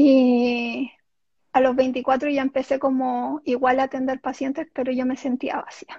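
A woman's high-pitched voice, dark and mellow in tone, with big swings in loudness, flat monotone intonation and a fairly slow pace, over a quiet background, in a dry, close sound with no echo. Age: 30s. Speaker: self-healing therapist. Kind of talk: casual interview.

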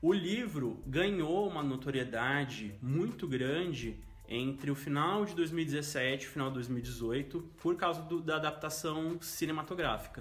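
With music in the background and audible room echo, a man at a fairly high pitch talks at a fairly slow pace with hardly any pauses and ordinary pitch variation. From interior of São Paulo state, Brazil. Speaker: journalist. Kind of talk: casual chat.

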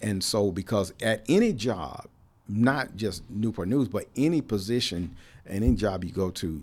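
A man with an unremarkable speaking voice talks at a fairly slow pace and a fairly low pitch. His intonation is lively. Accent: American. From Cleveland, Ohio. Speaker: retired navy civilian worker, trades advocate. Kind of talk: casual interview. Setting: studio.

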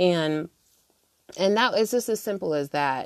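In a normal speaking voice, a woman talks at a fairly quick pace with lively intonation, her sound dry and close with no echo against a quiet background. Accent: American. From United States. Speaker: podcast host. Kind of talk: solo podcast monologue, casual reflections. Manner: casual, conversational, many filler words.

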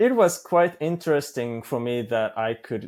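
Speaking at a fairly slow pace with a Japanese accent, the man has medium pitch and ordinary pitch variation. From Osaka, Japan. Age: 30s. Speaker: polyglot, language learner, YouTuber. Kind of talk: casual interview. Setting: video call from Japan. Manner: halting, self-correcting.

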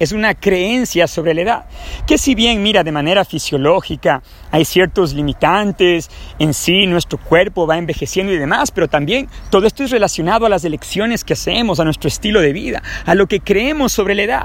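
Over noticeable background noise, a man speaks at a moderate pace with a high pitch and lively intonation. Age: 30s. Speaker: personal development podcaster. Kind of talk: motivational monologue. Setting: outdoors in a park.

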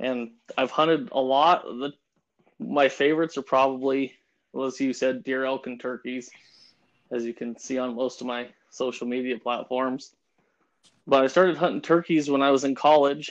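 A man speaks with an American accent at medium pitch and a moderate pace. His intonation is fairly even, with long, frequent pauses. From Pueblo, Colorado. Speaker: hunting guide. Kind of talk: casual chat.

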